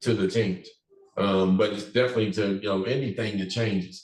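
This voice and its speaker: Somewhat breathy, a man's voice comes through with audible room echo. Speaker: business owner teaching a workplace class. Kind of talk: class presentation. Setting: office classroom. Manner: halting, many fillers.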